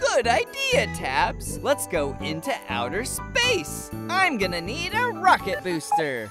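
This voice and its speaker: A cartoonish character voice speaks at a fairly slow pace with clear music in the background. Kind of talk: children's cartoon dialogue. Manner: upbeat, excited.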